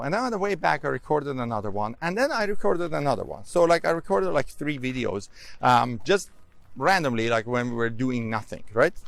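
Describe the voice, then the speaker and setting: At a fairly quick pace, a man of medium pitch talks in a very clean recording with a silent background. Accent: non-native. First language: not English. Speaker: public speaking coach and course creator. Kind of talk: casual vlog talk. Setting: outdoors, walking. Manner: conversational, with fillers.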